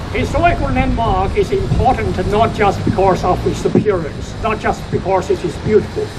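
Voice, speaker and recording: A man with a Chinese accent speaks at a fairly slow pace. The room echoes audibly, and there is noticeable background noise. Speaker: company founder. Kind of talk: prepared speech. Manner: halting.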